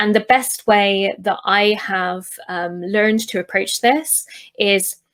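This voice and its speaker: On a very clean recording with a silent background, a woman with a British accent keeps her intonation fairly even. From UK. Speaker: UX researcher and designer. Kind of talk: recorded conference talk. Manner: hesitant, many fillers.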